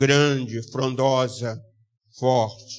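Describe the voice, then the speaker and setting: The delivery is very slow, and the intonation stays fairly even throughout. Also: man. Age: 60s. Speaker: pastor. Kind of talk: sermon.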